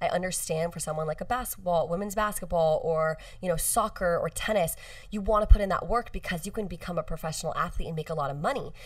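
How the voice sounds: A woman with an American accent speaks fast, with few pauses. Her pitch is fairly low, with ordinary variation.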